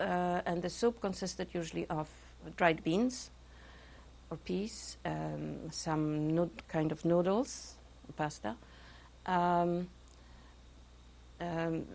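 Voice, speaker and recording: A woman talks at a very slow pace, broken by long, frequent pauses. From Poland. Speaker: Holocaust survivor. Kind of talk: interview answer.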